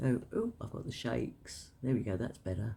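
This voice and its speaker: A woman talks in a London accent with vocal fry. Her tone is dark and mellow. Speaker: tarot reader. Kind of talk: tarot card reading to camera. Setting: at home, cards on a table. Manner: hesitant, many filler words.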